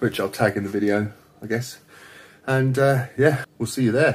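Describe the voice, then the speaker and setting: Over light background noise, a man talks at a fairly slow pace in a somewhat breathy voice. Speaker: fitness vlogger. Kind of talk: casual vlog chat. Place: home room. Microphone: phone near.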